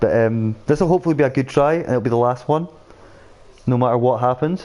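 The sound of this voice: A man talks at a fast pace with a slightly mellow tone and ordinary pitch variation. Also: medium pitch for a man.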